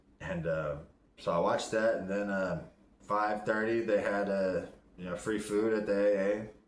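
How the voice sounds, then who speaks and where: Mumbling at a moderate pace, a man speaks at a fairly low pitch with fairly even intonation, and room echo is audible. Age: 40s. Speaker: vlogger in recovery. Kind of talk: casual video diary.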